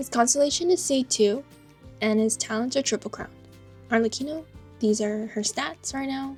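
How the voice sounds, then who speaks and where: A high-pitched woman's voice at a moderate pace, with long, frequent pauses and music in the background. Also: ordinary pitch variation. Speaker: gacha game player. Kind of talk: casual game account tour voiceover.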